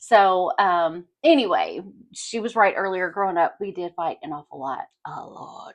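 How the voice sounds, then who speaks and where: The speaker talks at a fairly slow pace with a Kentucky accent and lively intonation. Loudness swings widely throughout. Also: woman, medium pitch for a woman. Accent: Kentucky Southern US. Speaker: podcast co-host. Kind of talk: casual chat.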